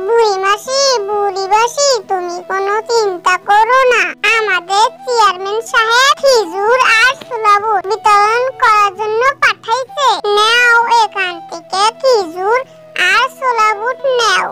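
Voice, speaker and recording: Using a cartoonish character voice at an extremely high pitch, a woman speaks at a fairly slow pace with ordinary pitch variation over light background noise. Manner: eager, deferential.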